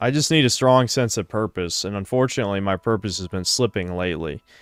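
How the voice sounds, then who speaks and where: This man has an unremarkable speaking voice, fairly low in pitch with ordinary pitch variation, moving at a fairly quick pace in a dry, close sound with no echo. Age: 30s. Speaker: streamer. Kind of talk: casual chat.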